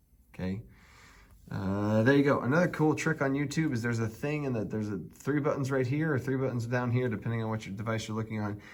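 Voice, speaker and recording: A very fast-talking man with ordinary pitch variation. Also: medium pitch for a man. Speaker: math teacher. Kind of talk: tutorial. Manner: animated.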